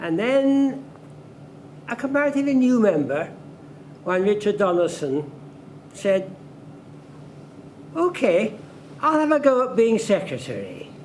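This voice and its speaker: Speaking at a fairly slow pace with long, frequent pauses, a man with a high pitch makes very wide pitch swings. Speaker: former club chairman. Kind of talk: anniversary dinner reminiscence. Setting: dinner event with audience.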